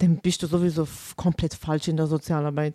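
The voice has a dark, mellow tone with a Vorarlberg accent. The sound is dry and close, with no echo. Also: woman. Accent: Vorarlberg Alemannic German dialect. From Vorarlberg, Austria. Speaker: school social worker. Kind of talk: casual chat.

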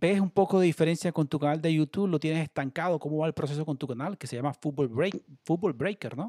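Dark, mellow tone, ordinary pitch variation and a very fast pace, dry and close with no echo. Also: man, fairly high pitch for a man. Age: 30s. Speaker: online sports show host. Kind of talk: livestream interview. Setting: at home, video call.

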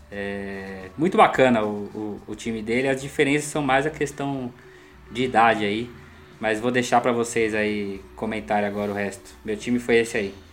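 This man has an unremarkable speaking voice, talking at a moderate pace and medium pitch with ordinary pitch variation. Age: 40s. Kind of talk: casual chat.

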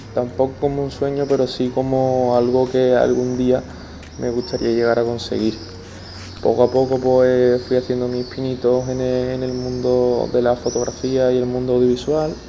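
The speech comes at a fairly slow pace with a monotone, flat intonation. Noticeable background noise and audible room echo fill the recording. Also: man, medium pitch for a man. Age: 20s. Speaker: podcaster and club communications intern. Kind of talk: personal monologue. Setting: stadium stands. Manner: halting, frequent repetitions. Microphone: poor audio quality, recorded outside home.

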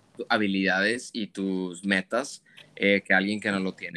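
The recording is very clean, dry and close with no echo, against a silent background. A bright, sharp voice speaks at a fairly slow pace in monotone, flat intonation. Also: man. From Monterrey, Mexico. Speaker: fashion photographer. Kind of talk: interview conversation.

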